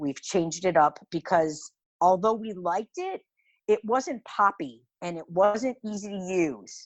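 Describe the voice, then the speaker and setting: Over a quiet background, a woman with an American accent talks at a fairly slow pace in a medium pitch, her tone animated and her intonation lively, the sound dry and close with no echo. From US Midwest, Cleveland Ohio. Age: 60s. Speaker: small business founder. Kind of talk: interview conversation.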